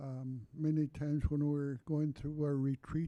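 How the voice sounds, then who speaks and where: Fairly slow and monotone, a man speaks with flat intonation in a fairly high voice, the sound dry and close with no echo. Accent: Alaskan. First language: Yupik. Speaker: panelist. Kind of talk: panel discussion. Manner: halting.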